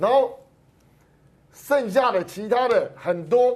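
This man talks with lively intonation. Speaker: political commentator. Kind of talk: casual political commentary.

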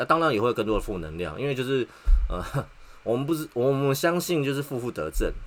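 A man speaks with a Taiwanese accent. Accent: Taiwanese Mandarin. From Taiwan, Taipei. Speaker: podcast host, factory technician. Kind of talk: personal monologue. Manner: halting, with many filler sounds.

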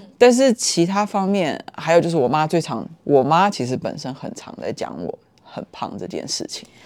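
A woman with a fairly low pitch speaks at a moderate pace. Her pitch swings very widely and her loudness shifts in big swings. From Taiwan. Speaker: podcast guest. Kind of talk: casual chat.

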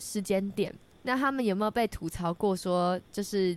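At a fairly slow pace, a woman speaks in an unremarkable speaking voice at a medium pitch, with ordinary pitch variation. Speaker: student radio host. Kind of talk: casual chat.

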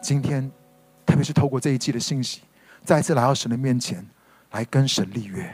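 Somewhat breathy and at a medium pitch, a man talks at a fairly quick pace with ordinary pitch variation and long, frequent pauses. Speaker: pastor. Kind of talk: sermon-style podcast teaching. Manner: emphatic, repeats key points.

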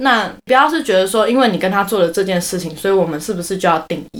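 A woman with a Taiwanese accent talks at a fairly quick pace, with medium pitch and ordinary pitch variation. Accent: Taiwanese Mandarin. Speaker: podcast co-host. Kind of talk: casual chat.

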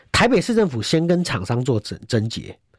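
A man's pitch swings very widely in a dry, close recording with no echo. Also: very clean recording, silent background. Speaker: Taipei city councillor. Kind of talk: political talk show interview.

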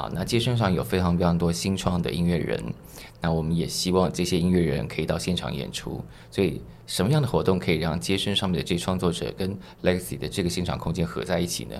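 A man talks at a very fast pace in a very deep, low voice with vocal fry. Audible room echo surrounds his speech. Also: lively intonation. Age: 40s. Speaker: music festival curator. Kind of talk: interview.

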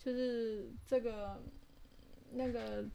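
A woman with a dark, mellow tone. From Taiwan. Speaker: podcast co-host, pilgrim hiker. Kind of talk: casual chat.

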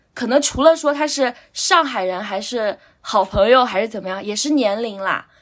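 With a plain, everyday voice, a woman talks at a moderate pace in a fairly high pitch and lively intonation. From Anhui, near Huangshan (small county town). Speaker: guest sharing life experience. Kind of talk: casual chat.

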